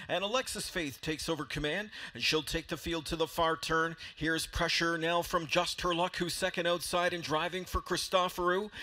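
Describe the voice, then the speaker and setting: Noticeable background noise sits under talk delivered at a moderate pace. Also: man. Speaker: race announcer. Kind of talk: live commentary. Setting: PA system.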